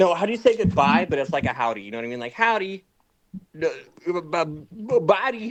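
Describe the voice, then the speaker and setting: Talking at a fairly quick pace with an American accent, a man uses a high pitch, very wide pitch swings and big swings in loudness, with long, frequent pauses. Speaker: streamer. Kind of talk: casual chat. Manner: animated.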